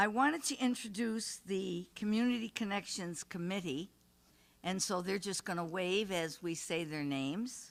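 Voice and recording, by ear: A woman talks at a fairly slow pace with vocal fry and ordinary pitch variation. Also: medium pitch for a woman.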